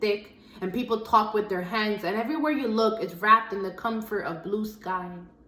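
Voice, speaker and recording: Audible room echo surrounds a woman speaking at a fairly high pitch and moderate pace with fairly even intonation. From US Northeast, the Bronx, Dominican family. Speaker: spoken word poet. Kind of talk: spoken word poetry performance.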